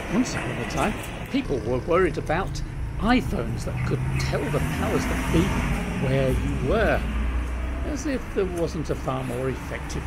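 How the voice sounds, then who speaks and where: Someone speaks at a fairly slow pace while music plays in the background. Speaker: travel vlogger. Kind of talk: casual vlog chat. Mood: wry, humorous. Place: street. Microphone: phone near.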